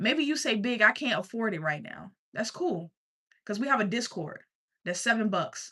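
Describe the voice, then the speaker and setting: This woman has a slight country accent and a bright, sharp tone. Her fairly high pitch makes very wide swings. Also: moderate pace. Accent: slight country twang. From US South, Richmond, Virginia. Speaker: life coach streamer. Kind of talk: sales pitch. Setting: livestream.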